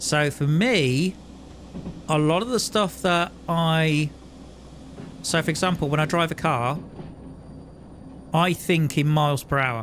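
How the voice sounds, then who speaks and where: Fairly high-pitched male speech with a British accent, fairly slow and broken by long, frequent pauses, very even in loudness, with ordinary pitch variation. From UK. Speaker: gaming streamer. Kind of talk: live gameplay commentary. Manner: casual, with frequent hesitations.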